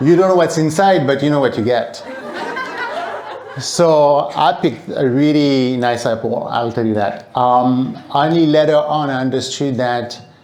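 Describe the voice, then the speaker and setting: Slow-paced and fairly high-pitched, a man with a French accent talks with ordinary pitch variation, audible room echo and noticeable background noise. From France. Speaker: speaker at event. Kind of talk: public talk.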